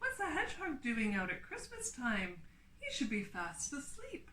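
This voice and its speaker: A woman puts on a gruff, growling character voice at a moderate pace. Light background noise sits behind her. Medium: read story.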